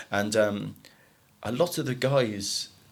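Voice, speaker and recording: A man talks with lively intonation while clearly audible background noise runs underneath. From Ireland. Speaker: recruitment company director. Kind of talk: podcast interview.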